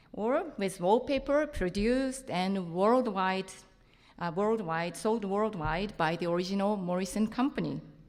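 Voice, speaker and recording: A woman with a Japanese accent speaks at a medium pitch and a fairly slow pace. Her intonation is lively, and the room echo is audible. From Japan, Tokyo. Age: 50s. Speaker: printmaker and lecturer. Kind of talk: conference talk. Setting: stage with audience.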